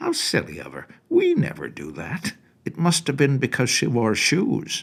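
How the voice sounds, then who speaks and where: A man's put-on character voice, high-pitched, at a moderate pace. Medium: read story. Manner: blunt, nosy.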